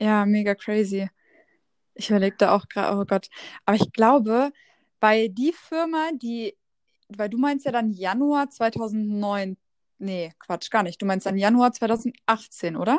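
A woman with a fairly high pitch and ordinary pitch variation speaks at a fairly slow pace with long, frequent pauses, in a dry, close sound with no echo. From Lower Saxony, near Hannover. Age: 20s. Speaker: social media entrepreneur. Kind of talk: casual chat.

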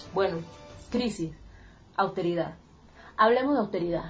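The speech moves at a moderate pace with ordinary pitch variation. Audible room echo and noticeable background noise are present. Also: woman. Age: 20s. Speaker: radio commentator and activist. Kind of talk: casual direct address; opinion commentary.

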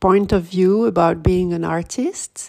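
A woman's medium-pitched voice with a French accent, very slow pace, and ordinary pitch variation, on a very clean recording with a silent background. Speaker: podcast host. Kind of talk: scripted intro and outro.

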